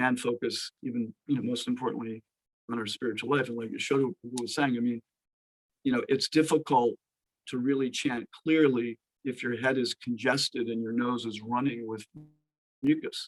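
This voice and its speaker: In a dry, close recording with no echo, a man of medium pitch speaks at a moderate pace in a monotone, flat manner, with long, frequent pauses. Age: 60s. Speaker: Ayurveda practitioner. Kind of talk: talk to online devotee audience. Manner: hesitant, many fillers.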